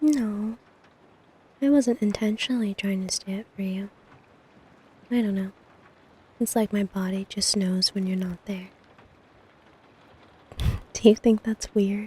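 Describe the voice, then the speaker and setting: A woman at medium pitch, somewhat breathy with a dark, mellow tone and fairly even intonation, speaks at a fairly slow pace with long, frequent pauses in a dry, close sound with no echo. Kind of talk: ASMR girlfriend roleplay. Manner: affectionate, sleepy.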